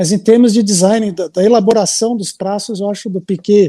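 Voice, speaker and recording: Moderately paced, this man's voice is high for a man, with a dark, mellow tone. The sound is dry and close, with no echo. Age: 40s. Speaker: graphic designer. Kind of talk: casual interview.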